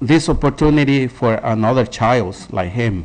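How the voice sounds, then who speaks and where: A man speaks at a very slow pace. He has a non-native accent. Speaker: parent speaking at public comment. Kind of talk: public comment. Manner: halting.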